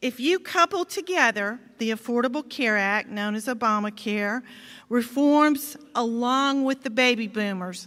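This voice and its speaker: In a Georgia accent, a woman speaks fairly slowly in a high pitch with a bright, sharp tone and lively intonation, on a very clean recording with a silent background. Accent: Southern American (Georgia). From US South. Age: 60s. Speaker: state legislator. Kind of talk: commencement speech. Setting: stage with audience.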